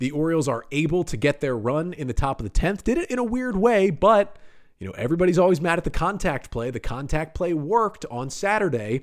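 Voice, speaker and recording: Animated and quick, a man talks at a fairly quick pace in a high pitch with very wide pitch swings. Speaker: sports podcast host. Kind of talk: sports podcast recap. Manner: animated, fast play-by-play retelling.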